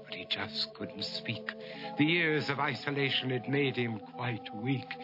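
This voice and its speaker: With music in the background, a man speaks at a medium pitch and a fairly slow pace. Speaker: narrator. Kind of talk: rhyming story narration for animated short.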